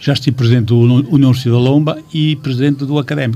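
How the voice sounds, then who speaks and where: A man speaks with fairly even intonation. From Portugal, Amarante area. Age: 60s. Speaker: football club president. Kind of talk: radio interview. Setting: radio studio. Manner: halting.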